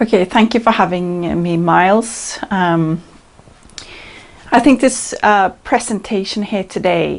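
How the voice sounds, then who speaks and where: A woman's very slow speech at a medium pitch, with ordinary pitch variation and a slight non-native accent. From Norway. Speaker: channeler. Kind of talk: presentation.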